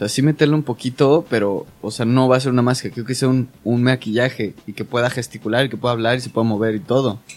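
A man talks at a very fast pace with hardly any pauses. His medium pitch follows fairly even intonation. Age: 20s. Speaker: special effects makeup artist. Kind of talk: casual chat.

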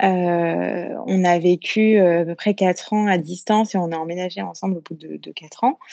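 A woman speaks in a normal speaking voice at medium pitch, with ordinary pitch variation and a fairly slow pace. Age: 20s. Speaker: listener leaving a voice message. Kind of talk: recorded voice message. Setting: phone voice message.

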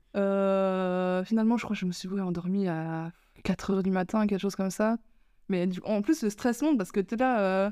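A woman speaks at a medium pitch with a dark, mellow tone and ordinary pitch variation, at a moderate pace. The recording is very clean against a silent background. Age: 20s. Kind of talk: casual chat.

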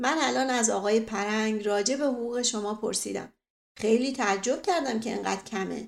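Against a quiet background, the text is given as plain reading aloud, its pitch varying in an ordinary way.

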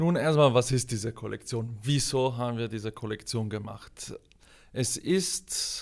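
At a fairly slow pace, a man speaks with a medium pitch and ordinary pitch variation. The recording is very clean, with a silent background. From South Tyrol, Italy. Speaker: product manager. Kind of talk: interview.

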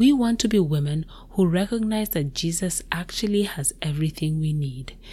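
Her voice is fairly low and somewhat breathy, and the woman keeps a moderate pace with ordinary pitch variation. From Kenya. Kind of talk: devotional teaching monologue.

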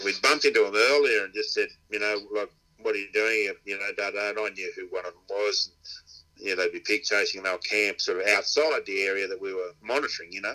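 The loudness rises and falls sharply. A man is talking very fast. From Inverell, New South Wales, Australia. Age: 60s. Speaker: dog trainer and pig hunter. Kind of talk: casual interview chat.

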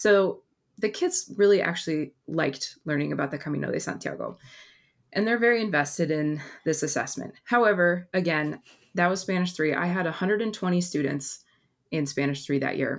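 With a plain, everyday voice, a woman with an American accent speaks at a fairly quick pace and fairly low pitch, with ordinary pitch variation, on a very clean recording with a silent background. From Oregon, Portland area. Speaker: former Spanish teacher, education presenter. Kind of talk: casual interview chat.

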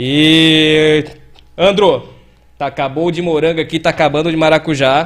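A man's high-pitched voice at a fairly slow pace. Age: 40s. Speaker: podcast host. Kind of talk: casual chat.

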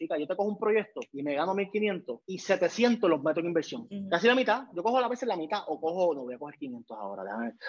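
With a Puerto Rican accent and a high pitch, a man talks at a fairly quick pace, hardly pausing, his pitch swinging very widely. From Puerto Rico. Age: 30s. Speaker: photographer and video director. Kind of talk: interview conversation.

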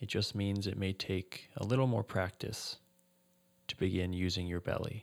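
An unremarkable speaking voice from a man, fairly low in pitch, at a moderate pace with fairly even intonation, on a very clean recording with a silent background. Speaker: meditation teacher and tennis coach. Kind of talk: guided meditation. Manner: gentle, measured.

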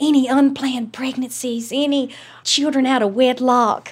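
A woman with a Southern US accent speaks at a high pitch. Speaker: former town clerk. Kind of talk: interview.

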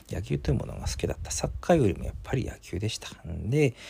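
With vocal fry and a dark, mellow tone, the voice moves at a fairly quick pace in a very clean recording with a silent background. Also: man. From Hokkaido, Japan. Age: 30s. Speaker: podcast host. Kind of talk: casual monologue.

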